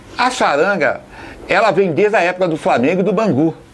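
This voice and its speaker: This man talks at a fairly quick pace. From Brazil, Volta Redonda (Rio de Janeiro state). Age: 60s. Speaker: football fan and supporters' band leader. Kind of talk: documentary interview.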